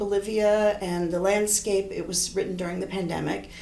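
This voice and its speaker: The intonation stays flat and monotone. Room echo can be heard. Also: woman. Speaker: horn professor and composer. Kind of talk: interview.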